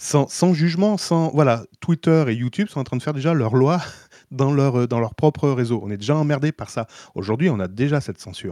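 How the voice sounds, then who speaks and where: A man with a fairly high pitch and a dark, mellow tone talks at a fairly quick pace with lively intonation, the sound dry and close with no echo against a quiet background. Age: 40s. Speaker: podcast co-host. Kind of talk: casual chat.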